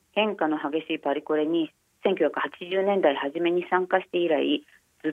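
In a normal speaking voice, a woman talks at a moderate pace with fairly low pitch and ordinary pitch variation. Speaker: newspaper fashion journalist. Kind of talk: interview. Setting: phone call. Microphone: phone line.

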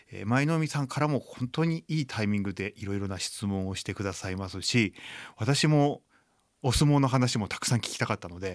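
A man with a plain, everyday voice speaks at a medium pitch and fairly quick pace. His intonation is lively, and the recording is very clean with a silent background. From Japan, Chiba. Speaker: blind violinist and composer. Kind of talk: radio interview. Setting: studio.

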